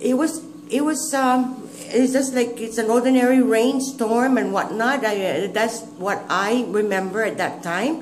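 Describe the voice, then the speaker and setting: With audible room echo and noticeable background noise, a woman speaks at a fairly slow pace in a fairly high pitch. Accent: Guamanian. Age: 60s. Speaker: grandmother recalling history. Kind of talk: oral history interview. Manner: halting.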